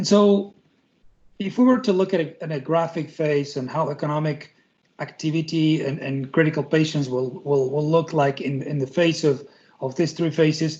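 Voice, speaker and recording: Here a man talks with a fairly high pitch. His pace is moderate, and his pitch variation is ordinary. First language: Spanish. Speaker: tech company representative. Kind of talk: presentation. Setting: video call. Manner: halting, many repetitions and fillers.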